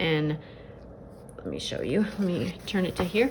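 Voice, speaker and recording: A woman's fairly low voice with ordinary pitch variation. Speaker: budget planner vlogger. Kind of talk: casual tutorial. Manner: many filler words.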